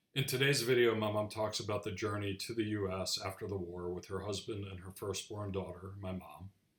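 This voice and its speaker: A man's somewhat breathy, fairly low voice at a fairly quick pace, fairly even in intonation, with hardly any pauses. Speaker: grandchild of a Holocaust survivor, channel host. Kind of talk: casual commentary to camera.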